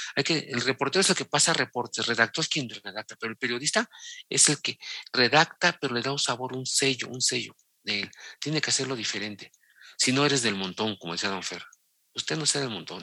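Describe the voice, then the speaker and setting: Over a silent background in a very clean, dry, close recording with no echo, the voice moves at a fairly quick pace with lively intonation and a bright, sharp tone. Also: man, medium pitch for a man. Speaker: sports journalist. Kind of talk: interview.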